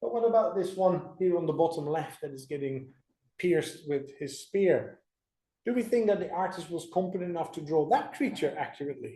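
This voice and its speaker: A man with a high pitch and a dark, mellow tone talks at a fairly quick pace amid audible room echo. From Netherlands. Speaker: creation speaker. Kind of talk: church presentation.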